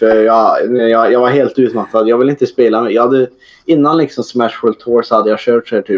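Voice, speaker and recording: An ordinary speaking voice from a man, medium in pitch, with fairly even intonation. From western Sweden, near Trollhättan. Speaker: esports player. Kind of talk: casual chat.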